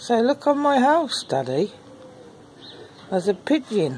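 A woman speaks slowly in a fairly high pitch with a slightly mellow tone. Her pitch takes big swings.

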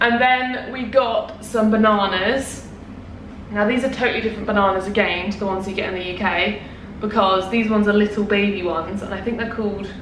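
A woman talks at a fairly quick pace with fairly even intonation, over light background noise and audible room echo. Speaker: vlogger. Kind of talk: casual vlog chat. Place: home room. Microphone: camera far.

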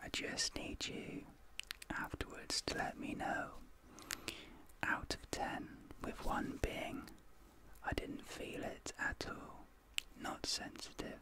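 A soft-spoken man whispers with long, frequent pauses. The sound is dry with no echo, and there is noticeable background noise. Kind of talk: soft-spoken ASMR role-play. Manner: soft, slow ASMR near-whisper. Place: home room.

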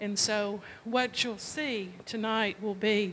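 At a slow pace, a woman speaks with a fairly bright tone.

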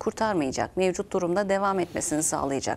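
A woman speaks with lively intonation. There is light background noise. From Turkey. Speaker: program host and interviewer; TV program host. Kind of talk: interview. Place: studio. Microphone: lapel.

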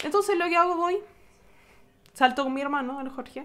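A woman talks in a Chilean accent at a fairly quick pace. Her pitch variation is ordinary. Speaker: vlogger. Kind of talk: vlog storytelling. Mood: upset, telling bad experience. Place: home room. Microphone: phone near.

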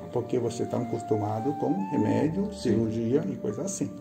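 Fairly quick speech over clear background music. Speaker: acupuncture therapist. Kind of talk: practitioner explaining a treatment session.

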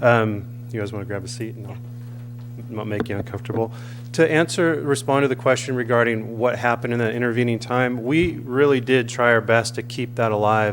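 A man talks at medium pitch and a fairly quick pace with fairly even intonation. His loudness swings widely. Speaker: public commenter at council meeting. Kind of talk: public comment. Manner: fast.

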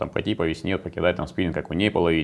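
A man with a very deep, low pitch talks at a very fast pace. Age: 40s. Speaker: competitive angler; interview guest. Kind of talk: interview. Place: meeting room.

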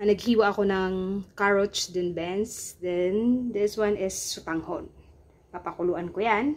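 At a fairly slow pace, a woman talks with ordinary pitch variation. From Philippines. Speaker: cooking vlogger. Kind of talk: cooking tutorial vlog. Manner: casual, chatty. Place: kitchen. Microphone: phone near.

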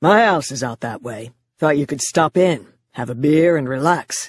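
A woman puts on a character voice that is raspy and very deep and low in pitch, with lively intonation at a moderate pace, in a dry, close sound with no echo. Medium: read story. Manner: casual, coaxing.

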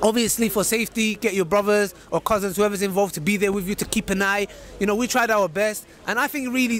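Over light background noise, a man with a high pitch speaks very fast with fairly even intonation, the sound dry with no echo. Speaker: street video host. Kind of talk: casual vlog chat. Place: street. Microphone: handheld.

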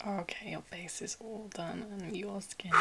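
A woman talks at a fairly slow pace. Loud background noise is present. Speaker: makeup roleplay host. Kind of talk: soft personal-attention roleplay talk. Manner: soft close-mic ASMR whisper. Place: home room.

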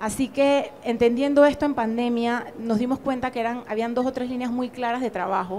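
High-pitched speech from a woman at a moderate pace, fairly even in intonation with hardly any pauses, over light background noise. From Panama. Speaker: museum director; museum director on a panel. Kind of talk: panel discussion. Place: hall.

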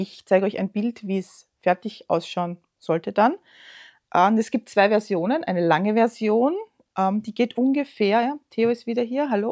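A woman speaks with an Austrian accent at a fairly high pitch. Her pace is fairly slow, over a quiet background. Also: ordinary pitch variation. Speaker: knitting podcaster. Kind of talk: casual show-and-tell vlog; casual vlog chat. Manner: hesitant, many fillers. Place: home room.

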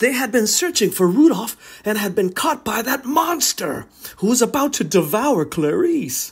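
Here a man speaks at an extremely high pitch. His voice makes very wide pitch swings. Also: moderate pace. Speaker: children's story reader. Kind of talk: read-aloud children's story.

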